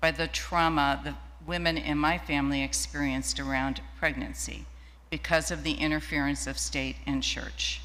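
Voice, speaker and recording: A woman talking at a moderate pace in a room with audible echo. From Ohio, US Midwest. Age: 70s. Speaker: women's rights activist. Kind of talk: personal testimony in a worship service. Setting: church sanctuary, streamed live.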